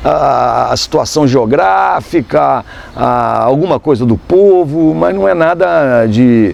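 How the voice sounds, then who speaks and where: At a very slow pace, a man speaks in a medium pitch with very wide pitch swings and very even loudness, while noticeable background noise sits behind him. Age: 60s. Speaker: photographer and journalist. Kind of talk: interview. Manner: halting, many fillers.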